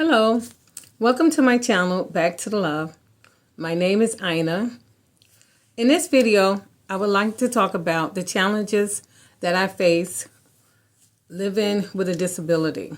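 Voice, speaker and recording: A woman's lively intonation at a moderate pace, broken by long, frequent pauses. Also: medium pitch for a woman. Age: 60s. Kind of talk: personal vlog talk.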